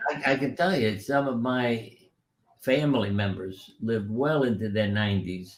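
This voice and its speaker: A man speaks at a moderate pace with a medium pitch and ordinary pitch variation. Audible room echo is present. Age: 90s. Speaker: retired surgeon and author on healing. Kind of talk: interview. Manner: conversational storytelling.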